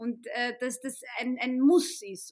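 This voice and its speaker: This woman's voice sits high in pitch with ordinary pitch variation. She speaks at a very slow pace. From Austria, Vienna. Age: 30s. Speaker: author and journalist. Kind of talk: interview conversation.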